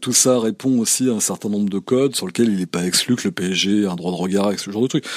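The voice has ordinary pitch variation and a dry, close sound with no echo. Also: man. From France, Normandy. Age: 40s. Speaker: photographer and podcast host. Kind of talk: interview conversation. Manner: hesitant, many fillers.

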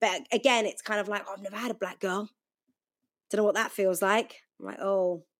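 A woman with an ordinary speaking voice talks at a fairly quick pace, keeping a medium pitch and fairly even intonation. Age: 30s. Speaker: radio DJ. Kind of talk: casual chat.

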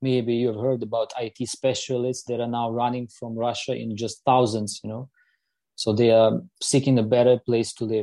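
Dark and mellow in tone, a man's voice sits at a medium pitch with monotone, flat intonation. He keeps a moderate pace over a quiet background. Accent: Ukrainian. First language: Ukrainian. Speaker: politician. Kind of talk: panel discussion. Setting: video call.

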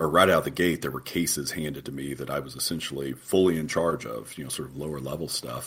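A man with a very deep, low pitch talks at a very fast pace with ordinary pitch variation amid noticeable background noise. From southeastern Oklahoma. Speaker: federal judge. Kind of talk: interview.

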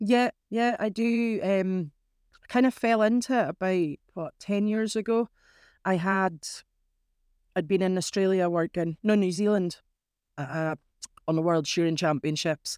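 A woman speaks at a fairly slow pace with long, frequent pauses, on a very clean recording with a silent background and a dry, close sound with no echo. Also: medium pitch for a woman, ordinary pitch variation. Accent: northern Scottish. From Scotland, Caithness. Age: 40s. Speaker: crofter. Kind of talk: interview.

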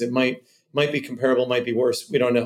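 A man talks with a Californian accent. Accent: General American, Californian. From California, Cupertino. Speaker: venture capitalist. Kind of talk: interview conversation.

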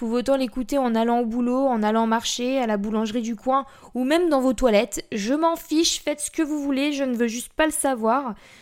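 A woman speaks with a high pitch and ordinary pitch variation. Her pace is fairly quick. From central France (Blois, Loir-et-Cher). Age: 20s. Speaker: podcast host. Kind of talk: casual monologue. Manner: chatty, rambling.

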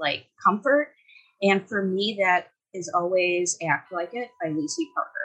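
Using a plain, everyday voice with an American accent, a woman talks at medium pitch and a fairly slow pace with lively intonation. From Wisconsin. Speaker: podcast community member interviewed. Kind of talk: casual chat.

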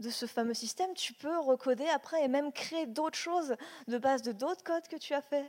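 A woman's voice at a fairly slow pace with ordinary pitch variation. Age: 20s. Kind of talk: panel testimony.

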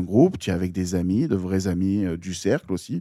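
Very deep, low male voice of dark, mellow tone and ordinary pitch variation, dry and close with no echo, in a very clean recording with a silent background. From Marseille, southern France. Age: 30s. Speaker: water polo team manager and DJ. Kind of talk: casual chat. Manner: loud.

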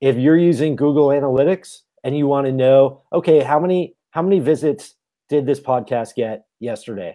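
Against a quiet background, a man's dark, mellow voice comes through at a fairly high pitch, with ordinary pitch variation and a moderate pace. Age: 40s. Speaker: tech entrepreneur and podcaster. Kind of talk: interview.

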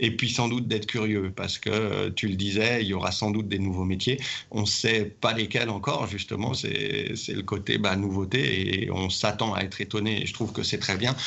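A man with a fairly low pitch and fairly even intonation speaks at a moderate pace with hardly any pauses, amid audible room echo. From France, Saint-Étienne area. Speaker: rugby club president. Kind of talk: interview.

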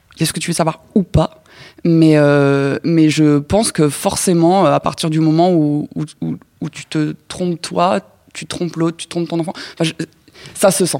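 A woman with a very deep, low pitch and a dark, mellow tone speaks fairly slowly with fairly even intonation and big swings in loudness, the sound dry and close with no echo. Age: 30s. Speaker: podcast guest. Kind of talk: casual chat. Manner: halting.

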